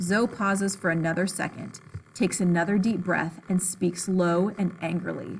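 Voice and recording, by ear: The text is read aloud in a natural voice, the intonation staying fairly even.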